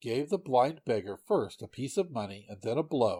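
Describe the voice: Someone reads aloud. The reading is plain.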